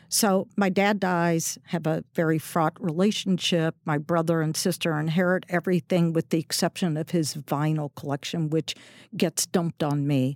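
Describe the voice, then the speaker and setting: A woman with a fairly low pitch talks at a moderate pace with hardly any pauses, fairly even intonation and very even loudness, in a dry, close sound with no echo on a very clean recording with a silent background. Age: 60s. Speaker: restaurateur. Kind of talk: casual interview. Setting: studio.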